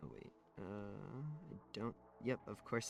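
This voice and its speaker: Soft-spoken, the man has a medium-pitched voice. Vocal fry runs through his speech. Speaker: streamer. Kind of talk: casual chat. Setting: live stream.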